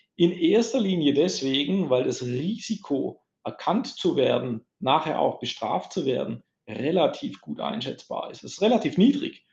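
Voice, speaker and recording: At a fairly slow pace, the speech shows big swings in loudness. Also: man. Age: 50s. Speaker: IT security sales manager. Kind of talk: casual interview. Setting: large meeting room.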